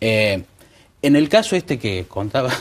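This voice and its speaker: A man's voice with very wide pitch swings, at a moderate pace. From Córdoba, Argentina. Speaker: lawyer. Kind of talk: TV panel discussion. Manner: halting. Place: studio. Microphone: lapel.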